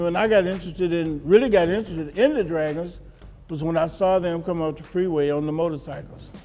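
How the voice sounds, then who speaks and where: Talking very fast with big swings in loudness, a man with an American accent and a high pitch comes through noticeable background noise. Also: ordinary pitch variation. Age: 80s+. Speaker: motorcycle club member. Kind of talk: interview answer. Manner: joyful.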